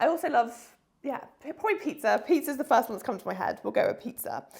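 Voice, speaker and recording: A woman's animated tone with a British accent. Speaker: online fitness coach. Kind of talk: casual vlog chat.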